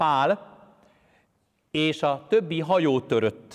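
With lively intonation and a fairly high pitch, a man speaks at a very slow pace over a quiet background. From Hungary, Pest county; Hungary. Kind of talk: sermon. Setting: church. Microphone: lapel.

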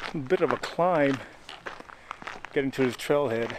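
A man talks at a moderate pace with noticeable background noise. The sound is dry, with no echo. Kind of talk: casual vlog chat. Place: forest. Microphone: phone near.

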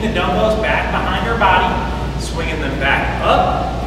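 Moderate pace with audible room echo and loud background noise. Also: man. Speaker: fitness instructor. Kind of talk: tutorial. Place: gym.

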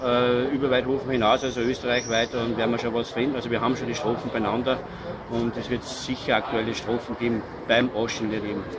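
Noticeable background noise fills the clip. Through it, a man talks. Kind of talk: interview answer. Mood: relaxed, pleased. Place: street. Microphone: handheld.

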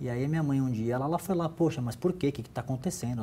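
This man's voice is fairly high in pitch and somewhat breathy, with a dark, mellow tone, ordinary pitch variation, and light background noise. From Santos, São Paulo, Brazil; São Paulo, Brazil. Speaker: business executive, former athlete; interview guest. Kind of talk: interview. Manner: halting, many repetitions. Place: office. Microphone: lapel.

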